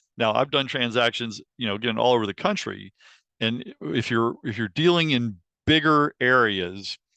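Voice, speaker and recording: An ordinary speaking voice, this man talks at a moderate pace with medium pitch and lively intonation. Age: 60s. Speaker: lawyer. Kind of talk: guest talk at student meeting.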